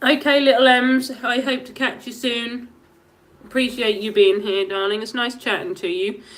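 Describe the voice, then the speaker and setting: A woman speaks with a Norfolk accent. Her pace is moderate. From England, Norfolk. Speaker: live streamer. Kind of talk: casual chat.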